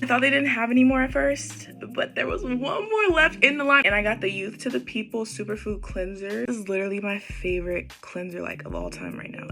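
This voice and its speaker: Music plays in the background while a woman talks at a fairly quick pace with hardly any pauses. Her loudness swings a lot. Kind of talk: casual talk to camera, shopping haul. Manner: upbeat, chatty.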